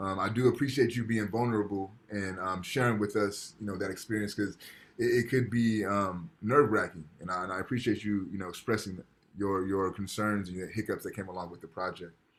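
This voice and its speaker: A man with a plain, everyday voice, fairly low in pitch, at a fairly quick pace with fairly even intonation. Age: 30s. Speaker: professor. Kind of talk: lecture. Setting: video call.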